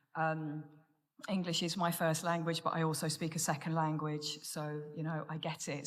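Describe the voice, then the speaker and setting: A woman with an English accent speaks at a moderate pace. Her pitch is very deep and low, and audible room echo surrounds it. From Menorca, Spain, English family. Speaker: recovery speaker. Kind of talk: testimony. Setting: stage with audience.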